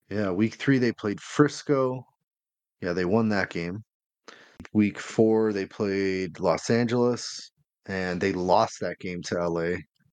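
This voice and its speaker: Very slow speech with ordinary pitch variation against a quiet background. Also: man, fairly low pitch for a man. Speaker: fantasy football podcast co-host. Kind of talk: casual chat.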